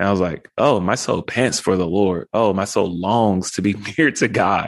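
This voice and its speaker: A man with an American accent talks at a very slow pace. The sound is dry and close with no echo, over a quiet background. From Texas, South Dallas. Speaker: pastor. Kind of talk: interview conversation.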